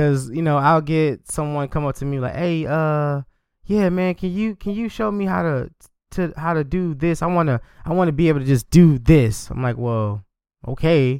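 Over a very clean, silent background, a man with a normal speaking voice talks at a moderate pace in a fairly high pitch with lively intonation. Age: 30s. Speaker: podcast host. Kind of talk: casual chat.

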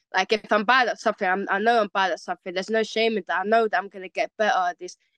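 A woman's medium-pitched voice in a London accent at a very fast pace, dry and close with no echo, against a quiet background. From West London. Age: 20s. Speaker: MMA fighter. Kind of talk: casual interview.

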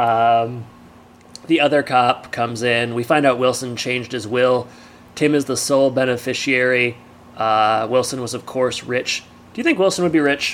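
In an ordinary speaking voice, a man with an American accent talks at a moderate pace and medium pitch, with fairly even intonation. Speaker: podcast co-host. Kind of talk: casual chat, podcast banter and episode recap. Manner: joking, laughs often, chatty.

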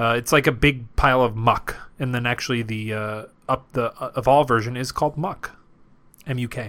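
A man with a plain, everyday voice speaks at a medium pitch. His pace is fairly quick and his intonation fairly even. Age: 30s. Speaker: podcast co-host. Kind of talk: casual chat.

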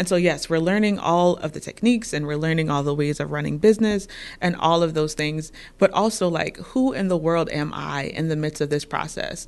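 Talking at a fairly quick pace, a woman with a fairly low pitch and ordinary pitch variation has an unremarkable speaking voice. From New York. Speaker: PhD student, therapist and podcast host. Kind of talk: casual conversation.

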